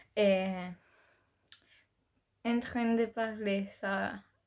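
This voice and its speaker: In a very clean recording with a silent background, a woman with a Spanish accent speaks at a very slow pace with fairly even intonation. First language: Spanish (speaking French). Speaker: beauty youtuber. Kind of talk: casual vlog chat. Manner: halting, many hesitations.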